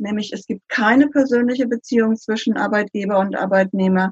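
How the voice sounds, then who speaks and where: A woman talks at a moderate pace with a fairly high pitch and a somewhat breathy quality. Her intonation stays fairly even, and the sound is dry and close with no echo. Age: 60s. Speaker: consultant. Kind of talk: interview.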